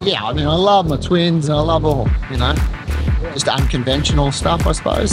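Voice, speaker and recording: Clear music plays in the background, and the sound is dry with no echo. A man speaks at a fairly quick pace. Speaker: interviewee. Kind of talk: interview answer. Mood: relaxed, casual. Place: beach.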